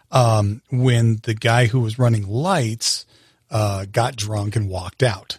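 Somewhat breathy and at medium pitch, a man talks at a very slow pace with fairly even intonation, the sound dry and close with no echo, in a very clean recording over a silent background. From US Colorado. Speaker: theatrical sound engineer. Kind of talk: casual interview.

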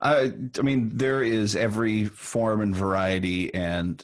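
A man talks in a normal speaking voice, his fairly low pitch showing ordinary pitch variation. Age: 30s. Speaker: songwriter and musician. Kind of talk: casual interview.

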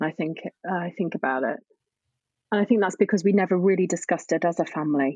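A woman speaks very fast with ordinary pitch variation. The recording is very clean with a silent background. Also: fairly low pitch for a woman, dry, close sound with no echo. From northern England, Scunthorpe, North Lincolnshire. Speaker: grief and drama therapist. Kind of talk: casual interview chat.

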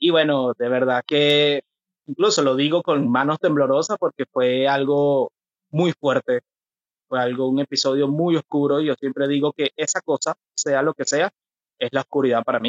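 This man has an unremarkable speaking voice, fairly high in pitch, delivered at a moderate pace. His intonation is fairly even and his loudness very even. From Venezuela. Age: 30s. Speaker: mental health activist. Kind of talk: interview about personal mental health experience.

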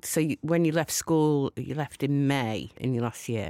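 On a very clean recording with a silent background, a woman with a Lancashire accent talks at a moderate pace in a very deep, low pitch. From Lancashire, northern England. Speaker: TV producer and DJ. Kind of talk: casual chat. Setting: studio.

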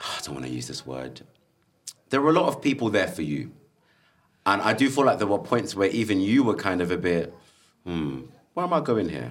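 Speaking with a British accent, a man with a fairly low voice and vocal fry moves at a fairly quick pace yet takes long, frequent pauses, with very wide pitch swings and big swings in loudness. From UK, Zambian heritage. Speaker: podcast host. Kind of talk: casual chat. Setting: stage with audience. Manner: animated.

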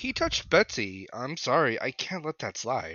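Big pitch swings mark this bright, sharp voice as it moves at a fairly slow pace. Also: man, medium pitch for a man.

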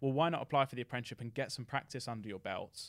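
On a very clean recording with a silent background, a man with an English accent speaks at a very fast pace, at a medium pitch with ordinary pitch variation. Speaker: former apprentice, tech company employee. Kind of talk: casual interview. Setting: studio.

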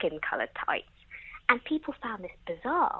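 The speaker is a woman with an English accent. She talks at a moderate pace. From England. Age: 20s. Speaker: television journalist. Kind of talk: casual chat.

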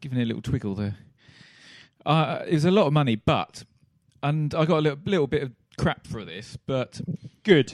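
In a dry, close sound with no echo, a man speaks at a fairly high pitch and a fairly quick pace. His intonation is lively, broken by long, frequent pauses. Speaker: podcast host. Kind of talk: casual banter while watching football.

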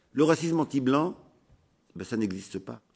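The pitch swings very widely. The recording is very clean, with a silent background. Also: man. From France. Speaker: sociologist and activist. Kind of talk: recorded conference talk.

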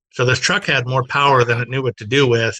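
A man with an American accent speaks in a bright, sharp, flat monotone at a medium pitch, with a quiet background. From Southern California, Glendale. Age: 40s. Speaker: automotive magazine publisher. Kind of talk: casual interview chat. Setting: video call.

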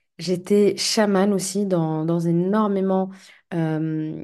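Over a quiet background, a woman speaks in a dark, mellow tone with a monotone, flat intonation. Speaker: life coach and podcaster. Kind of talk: solo podcast monologue. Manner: hesitant, many fillers; calmer when speaking of shamanism.

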